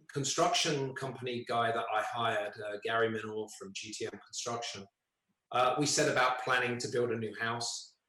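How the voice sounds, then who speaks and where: A man speaks with a British accent. Audible room echo surrounds his voice. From United Kingdom. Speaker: resident giving testimony at a public hearing. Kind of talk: public hearing statement. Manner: hesitant, many fillers.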